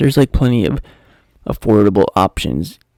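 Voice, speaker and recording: Quiet and at a very fast pace, a man speaks in a fairly low pitch with vocal fry, in a dry, close sound with no echo. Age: 20s. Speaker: talk show host. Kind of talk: casual solo talk.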